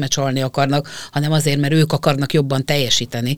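Very fast and very deep, with a low pitch, a woman's voice comes through in a dry, close sound with no echo. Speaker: sports psychologist. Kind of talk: interview.

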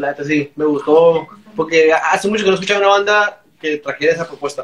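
At a very fast pace, a man talks in a high pitch. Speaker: punk band member. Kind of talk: casual chat.

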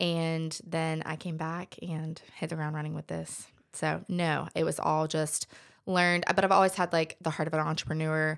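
In an American accent, the flat, monotone intonation comes across on a very clean recording with a silent background. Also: woman. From Aberdeen, North Carolina (Sandhills). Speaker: nanny agency founder. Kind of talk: interview. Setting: studio.

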